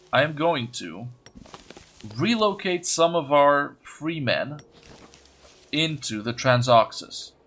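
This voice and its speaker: The speaker has a non-native accent, a very slow pace and lively intonation. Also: man, long, frequent pauses, big swings in loudness. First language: not English. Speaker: gaming video creator. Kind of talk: let's play commentary. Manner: halting, stuttering.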